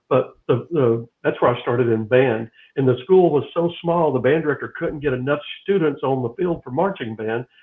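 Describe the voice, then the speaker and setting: A man talks at a moderate pace with a normal speaking voice. His pitch is fairly high, with ordinary variation. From US South, Dalton Georgia. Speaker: talk show co-host. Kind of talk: casual chat.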